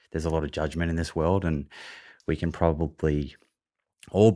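Monotone, flat delivery in an Australian accent. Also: man, very clean recording, silent background. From Australia, Melbourne. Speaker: nutrition podcaster and author. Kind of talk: interview.

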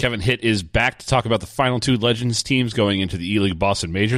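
At a very fast pace, a man talks with a fairly low pitch and ordinary pitch variation. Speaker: podcast host. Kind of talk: casual chat.

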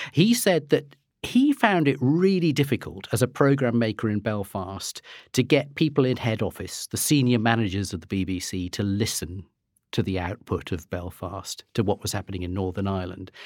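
A man with an ordinary speaking voice talks at a moderate pace and medium pitch, with lively intonation. The recording is very clean, dry and close, with a silent background and no echo. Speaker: historian and author. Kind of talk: panel discussion.

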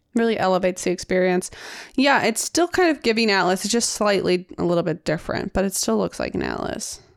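On a very clean recording with a silent background, a woman speaks at a fairly quick pace with vocal fry. Her medium pitch shows ordinary variation. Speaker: podcast co-host. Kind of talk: casual chat.

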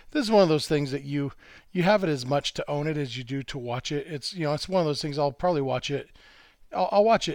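An unremarkable speaking voice from a man, fairly high in pitch with ordinary pitch variation, on a very clean recording against a silent background. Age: 40s. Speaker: baseball writer. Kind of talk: casual chat.

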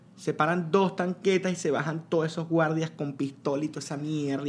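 Delivered in a Lara Venezuelan accent, the speech is animated, with noticeable background noise. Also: man. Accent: Venezuelan Spanish (Lara, guaro). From Venezuela, Lara state (Duaca). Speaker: podcast guest. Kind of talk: casual chat.

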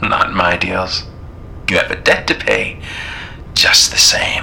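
A man's put-on character voice, low-pitched and slow, with little pitch movement, a bright, sharp tone and vocal fry over faint music in the background

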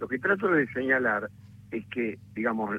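Using a normal speaking voice, a man talks at a moderate pace in a medium pitch with ordinary pitch variation. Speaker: lawyer. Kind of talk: interview.

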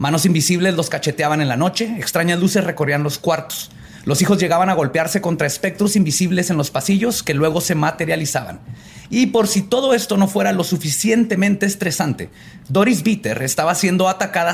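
A man talks at a fairly quick pace in a high voice with a Mexican accent. His pitch variation is ordinary. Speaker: podcast host, storyteller. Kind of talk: storytelling about paranormal cases in casual chat.

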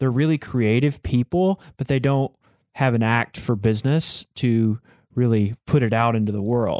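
In a normal speaking voice with an American accent, a man of medium pitch speaks at a moderate pace, recorded very cleanly against a silent background with a dry, close sound and no echo. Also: ordinary pitch variation. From Texas. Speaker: music company co-founder, fiddle player. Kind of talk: interview conversation.

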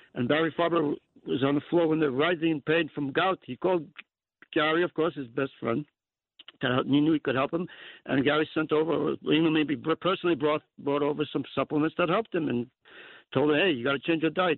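With a New York accent, a man talks at a fairly quick pace, his fairly high pitch following fairly even intonation. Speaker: caller. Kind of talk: call-in radio. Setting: phone call.

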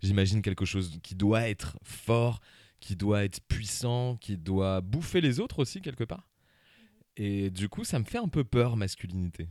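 This man's voice has a fairly low pitch and a dark, mellow tone. His pitch varies in an ordinary way. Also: fairly slow pace, very clean recording, silent background. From Paris suburbs, France. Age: 30s. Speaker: comedy podcaster. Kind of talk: casual interview. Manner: hesitant, many fillers.

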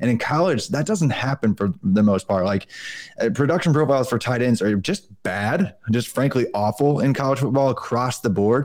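An unremarkable speaking voice, this man talks at a fairly quick pace with a medium pitch and lively intonation. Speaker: football podcast host. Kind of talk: casual sports podcast discussion.

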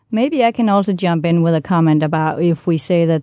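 A woman speaks with a Danish accent. Her pitch is fairly low. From Denmark, near Roskilde. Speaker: language and culture expert. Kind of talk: interview.

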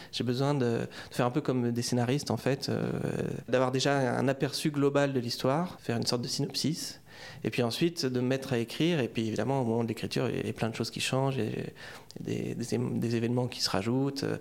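A man speaks at a medium pitch and a fairly quick pace with fairly even intonation. The recording is very clean, with a silent background. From France. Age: 30s. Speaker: novelist. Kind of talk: interview. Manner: halting, many hesitations.

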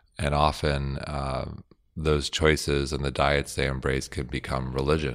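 On a very clean recording with a silent background, a man speaks with a very deep, low voice and vocal fry. His delivery is fairly slow and monotone, with flat intonation. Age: 40s. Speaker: podcast host and company founder. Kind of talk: casual interview.

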